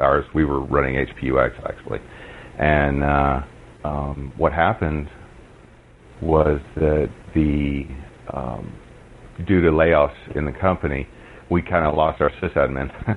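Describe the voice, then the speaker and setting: Amid noticeable background noise, a man with a very deep, low pitch talks at a very slow pace with fairly even intonation and long, frequent pauses. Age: 40s. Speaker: blind Linux user and accessibility advocate. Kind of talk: interview.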